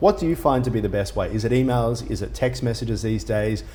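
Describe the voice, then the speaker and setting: Fairly quick speech with an Australian accent, audible room echo and noticeable background noise. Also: man. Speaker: business news interviewer. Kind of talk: interview.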